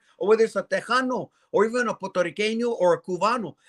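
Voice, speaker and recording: With an animated tone, a high-voiced man talks very fast with ordinary pitch variation, the sound dry and close with no echo. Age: 60s. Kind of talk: live show conversation.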